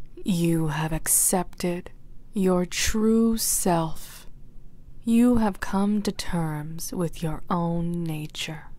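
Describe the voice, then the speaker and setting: Soft-spoken delivery comes through in a dry sound with no echo. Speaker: hypnosis roleplay narrator. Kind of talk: slow scripted hypnotic roleplay. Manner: soft, slow, sensual hypnotic voice.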